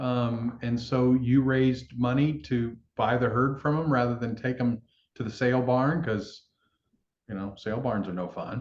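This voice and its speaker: A man with an unremarkable speaking voice, medium pitch, fairly even intonation and a moderate pace. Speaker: plant-based food company founder, interviewer. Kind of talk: interview questions, casual conversation.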